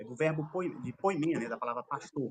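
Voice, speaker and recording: Here a man is speaking. His intonation is lively. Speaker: theological debater. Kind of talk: formal debate. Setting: live stream debate. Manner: fast; filler-heavy, halting.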